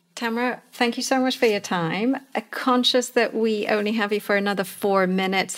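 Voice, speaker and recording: A woman with a normal speaking voice talks at medium pitch and a moderate pace, her intonation fairly even. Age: 40s. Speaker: podcast co-host, leadership advisor. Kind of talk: interview.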